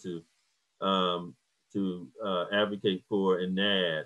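The speaker has an American accent. The background is quiet. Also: man. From US South, Hampton, Virginia; Virginia. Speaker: professor of social work. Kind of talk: lecture. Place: home room. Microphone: video call.

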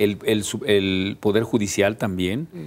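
This man's delivery runs at a fairly slow pace. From Mexico (Jalisco). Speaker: civil association leader; TV guest. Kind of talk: panel discussion. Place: studio.

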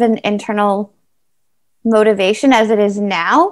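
With a Canadian accent, a woman speaks at a fairly slow pace and fairly high pitch. The background is quiet. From Canada. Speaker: para triathlete; interviewee. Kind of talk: interview, casual chat; interview answer. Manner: hesitant with many fillers. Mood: warm, relaxed. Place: home room. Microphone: video call.

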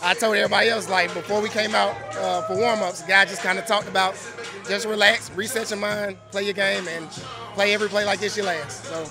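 Over clear music in the background, a man projects a raised voice at a fairly quick pace, his intonation fairly even and the sound dry with no echo. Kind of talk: interview answer.

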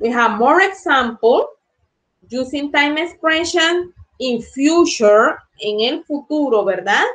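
Speaking very slowly over a quiet background, a woman uses a high pitch and lively intonation. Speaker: English teacher. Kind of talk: lecture. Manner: bilingual code-switching, slow explanatory. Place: home room. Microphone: webcam.

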